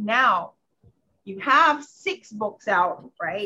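This woman's voice has a bright, sharp tone. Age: middle-aged. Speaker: interview host. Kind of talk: interview; promotional intro.

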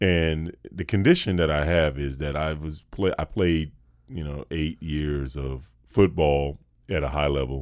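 In a Southern US accent, a man speaks with a very deep, low pitch. His pitch variation is ordinary. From North Carolina. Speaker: actor and voice actor. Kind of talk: casual chat. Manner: fast.

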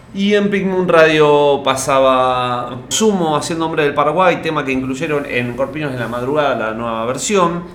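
Speaking with a Rioplatense accent, a man with a fairly high pitch talks at a moderate pace with ordinary pitch variation and hardly any pauses, amid audible room echo and noticeable background noise. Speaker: radio podcast co-host. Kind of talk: casual chat.

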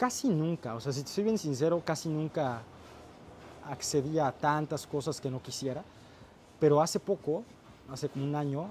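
At a moderate pace, a somewhat breathy voice with a dark, mellow tone speaks with ordinary pitch variation. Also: man. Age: 20s. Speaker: YouTube content creator and entrepreneur. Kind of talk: casual chat.

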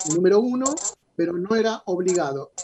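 This voice belongs to a man. The rise and fall of his pitch is ordinary. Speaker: boxing journalist. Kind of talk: radio interview.

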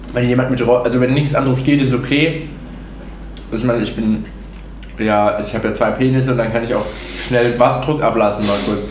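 A man at a medium pitch speaks with fairly even intonation and a fairly quick pace, broken by long, frequent pauses. Audible room echo and noticeable background noise surround him. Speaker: podcast host. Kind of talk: casual chat. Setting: at a friend's home over breakfast. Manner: fast, hesitant.

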